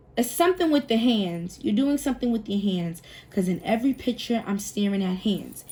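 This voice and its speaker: Over noticeable background noise, a woman with a fairly high pitch speaks with lively intonation. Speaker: tarot reader. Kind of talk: tarot reading monologue. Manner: casual, thinking aloud with fillers; stumbling over words at times.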